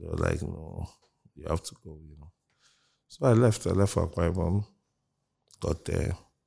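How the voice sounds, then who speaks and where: Somewhat breathy and dark, mellow in tone, a man with a very deep, low pitch speaks at a moderate pace, his loudness swinging widely while his pitch varies in an ordinary way. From Nigeria, Lagos (Mushin). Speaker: music producer and label executive. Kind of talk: interview.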